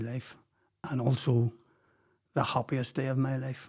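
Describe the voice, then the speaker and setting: A man with a Belfast accent, medium in pitch and somewhat breathy. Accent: Belfast Northern Irish. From Northern Ireland, West Belfast. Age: 60s. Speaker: podcast guest, former businessman. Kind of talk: personal life story interview.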